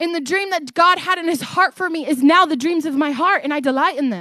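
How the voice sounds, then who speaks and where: A woman speaks loudly at an extremely high pitch, with an animated tone. Her pitch varies in an ordinary way, and the sound is dry and close with no echo. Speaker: guest preacher. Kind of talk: sermon. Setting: church. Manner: loud, animated.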